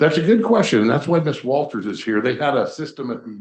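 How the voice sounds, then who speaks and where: With a quiet background behind him, a man is talking. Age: 60s. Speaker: permit applicant at public meeting. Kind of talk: public hearing testimony. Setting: county planning commission meeting. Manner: hesitant, many fillers.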